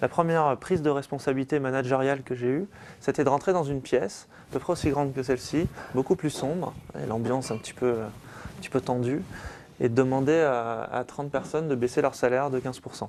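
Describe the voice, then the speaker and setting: Speaking at a fairly quick pace, a man has an unremarkable speaking voice. Medium in pitch, it varies in an ordinary way. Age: 30s. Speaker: business owner and author. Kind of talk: talk to an audience.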